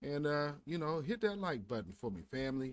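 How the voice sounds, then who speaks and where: Swinging very widely in pitch, a man talks at a moderate pace in a dry sound with no echo and light background noise. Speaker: stream host. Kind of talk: casual live-stream commentary. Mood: wry, animated. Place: home room.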